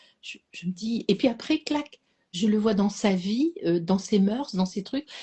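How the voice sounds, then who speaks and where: A woman speaks at a fairly slow pace and medium pitch, her voice somewhat breathy. Her intonation is lively. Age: 60s. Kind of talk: casual chat. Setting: live stream. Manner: halting.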